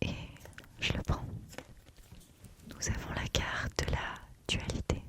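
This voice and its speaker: Someone whispers very slowly in a gentle, soothing tone over noticeable background noise. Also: woman. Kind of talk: ASMR tarot / spiritual guide roleplay. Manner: whispered, gentle, soothing.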